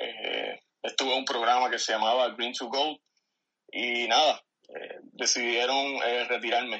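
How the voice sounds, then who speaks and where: A man talks at a moderate pace and medium pitch, his tone bright and sharp. His intonation stays monotone and flat. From Puerto Rico, San Germán. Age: 30s. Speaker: retired army veteran. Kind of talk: casual interview. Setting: phone call. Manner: halting.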